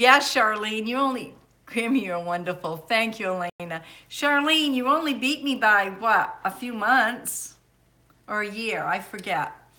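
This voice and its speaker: Lively intonation from a woman, fairly high-pitched and bright, sharp in tone, at a fairly slow pace amid audible room echo. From Maine. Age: 60s. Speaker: homesteading livestreamer. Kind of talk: casual live stream chat.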